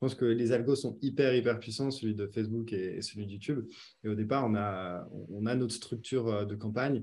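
A man speaks in an ordinary speaking voice at fairly low pitch. His intonation is fairly even and his pace moderate. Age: 20s. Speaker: online business founder. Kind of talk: casual interview.

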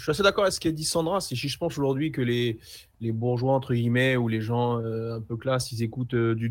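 Using a normal speaking voice, the speaker goes at a fairly quick pace with ordinary pitch variation. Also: man. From Seine-Saint-Denis, France. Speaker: sports journalist. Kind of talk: casual chat. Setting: remote connection.

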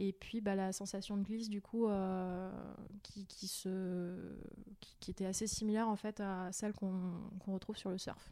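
In a dark, mellow tone, a woman speaks at a medium pitch and a fairly slow pace with monotone, flat intonation. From Paris suburbs, Val-de-Marne. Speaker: longboard dancing instructor. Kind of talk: casual interview. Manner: hesitant, many fillers and repetitions.

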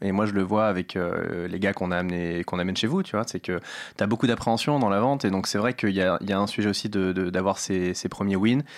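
Over a silent background in a very clean recording, a man with an unremarkable speaking voice talks at a fairly quick pace, his pitch fairly low and his intonation fairly even. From Paris, 13th arrondissement. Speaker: startup founder. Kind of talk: casual interview. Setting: studio.

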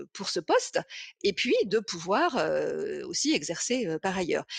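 A woman at a very slow pace, in a dry, close sound with no echo. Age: 50s. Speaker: business consultant and author. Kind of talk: interview. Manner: halting, many repeated words.

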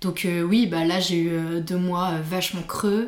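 With noticeable background noise, a woman speaks at a very slow pace in a fairly low pitch, her intonation monotone and flat. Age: 30s. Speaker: illustrator and art director. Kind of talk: casual interview chat. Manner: hesitant, many fillers.

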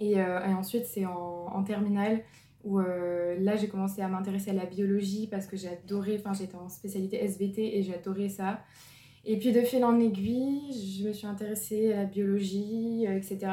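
A woman speaks at medium pitch in a monotone, flat way. Her tone is dark and mellow, and somewhat breathy. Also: fairly slow pace. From northern France (Lille). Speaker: medical student. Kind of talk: testimony.

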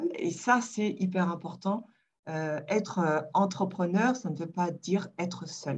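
A woman with a fairly low pitch speaks at a very slow pace in a somewhat breathy voice. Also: ordinary pitch variation. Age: 50s. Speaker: digital communication agency founder. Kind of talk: interview. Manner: halting.

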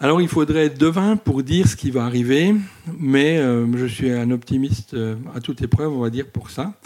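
A man's medium-pitched voice, an ordinary speaking voice, with lively intonation at a moderate pace. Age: 50s. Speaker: volunteer cinema association president. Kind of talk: interview. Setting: in a village cinema.

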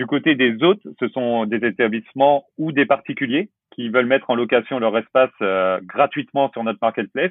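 At a moderate pace, a man is talking. His voice sits at a medium pitch and varies in an ordinary way. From western France (La Rochelle). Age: 30s. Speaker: startup co-founder. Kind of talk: interview. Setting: at home, remote call. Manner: halting, many repetitions and fillers.

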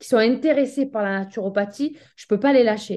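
A woman speaks at a fairly quick pace in a fairly high pitch, her tone dark and mellow, with ordinary pitch variation. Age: 30s. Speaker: naturopath. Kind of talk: casual chat. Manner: halting. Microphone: bad connection.

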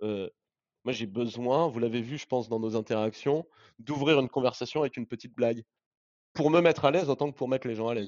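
A man talks at a very fast pace with a medium pitch. He leaves long, frequent pauses, and his pitch varies in an ordinary way. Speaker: startup CEO. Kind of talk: interview testimony. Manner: natural, casual phrasing.

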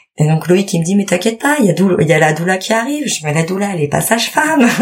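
A woman speaks at a fairly quick pace with a fairly low pitch. Noticeable background noise runs under her voice. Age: 30s. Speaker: mother sharing birth story. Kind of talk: testimony.

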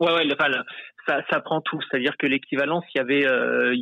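His voice fairly high for a man, he keeps his delivery at a moderate speed. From France. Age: 30s. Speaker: optician, immigrant. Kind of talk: interview. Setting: phone call.

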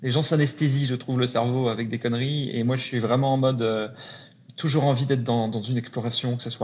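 Somewhat breathy, a man talks at medium pitch and a fairly quick pace, his intonation fairly even. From northern France (Lille). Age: 40s. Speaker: entrepreneur. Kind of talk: casual interview chat.

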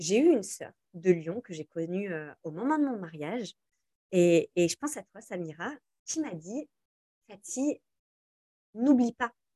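A woman with a dark, mellow tone speaks at a medium pitch and a fairly slow pace, with very wide pitch swings, big shifts in loudness and long, frequent pauses, in a dry, close sound with no echo. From France, Algerian family. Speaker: influencer and entrepreneur. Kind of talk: interview conversation.

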